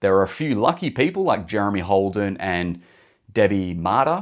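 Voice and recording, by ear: Fairly low-pitched male speech in an Australian accent, lively intonation, a moderate pace, and a very clean recording with a silent background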